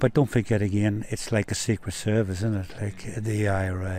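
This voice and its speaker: A man's dark, mellow voice, fairly low in pitch, at a moderate pace. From Northern Ireland. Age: 70s. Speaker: retired electrician, interviewee at a park rally. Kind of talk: casual interview, personal story. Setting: outdoors in a suburban park.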